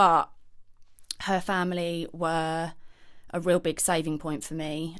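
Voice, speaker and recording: A woman's fairly low voice in a southern English accent at a fairly slow pace. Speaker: podcast guest. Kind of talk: personal testimony. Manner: hesitant.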